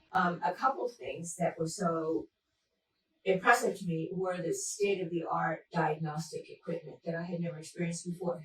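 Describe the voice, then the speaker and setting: Somewhat breathy and fairly low in pitch, a woman talks at a moderate pace with fairly even intonation. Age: 70s. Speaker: patient. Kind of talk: testimony.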